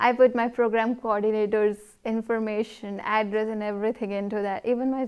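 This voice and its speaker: A woman with a fairly high pitch speaks at a moderate pace in a monotone, flat intonation. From India, Himachal Pradesh. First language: not English. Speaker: international student. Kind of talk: casual interview. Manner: halting.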